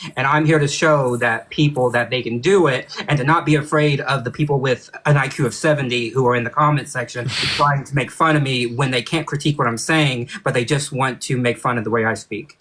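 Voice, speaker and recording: Over noticeable background noise, a man of medium pitch talks at a fairly quick pace with fairly even intonation and hardly any pauses. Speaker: military service member. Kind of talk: heated rant. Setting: live stream.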